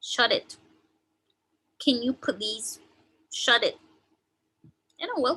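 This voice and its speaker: A squeaky voice with very wide pitch swings, a bright, sharp tone and a fairly slow pace. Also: woman. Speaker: online teacher. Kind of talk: tutorial.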